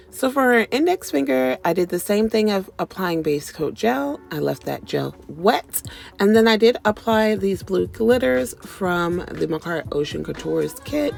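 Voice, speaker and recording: A woman talks at a fairly slow pace in a fairly low voice with very wide pitch swings. There is noticeable background noise. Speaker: nail tech YouTuber. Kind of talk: tutorial voiceover. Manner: casual with fillers.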